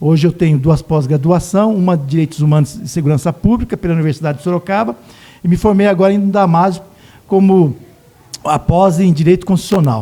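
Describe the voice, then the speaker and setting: Talking at a fairly quick pace, a man has a high pitch and a dark, mellow tone. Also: ordinary pitch variation. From Brazil, Osasco (São Paulo). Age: 60s. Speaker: local politician. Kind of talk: casual interview.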